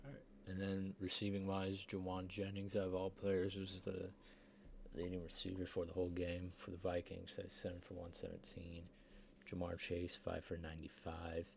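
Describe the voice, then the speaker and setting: A man's very deep, low voice in a flat monotone. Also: moderate pace. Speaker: sim football league recap host. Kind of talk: casual sports recap.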